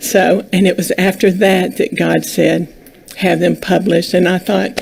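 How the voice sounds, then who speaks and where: A woman keeps her loudness very even as she talks at a fairly slow pace over noticeable background noise. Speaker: children's book author. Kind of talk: interview.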